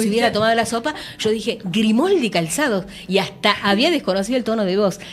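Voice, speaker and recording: Noticeable background noise runs under a woman's fairly high voice, which varies in pitch in an ordinary way. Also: fairly quick pace, very even loudness. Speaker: radio announcer. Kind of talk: interview answer.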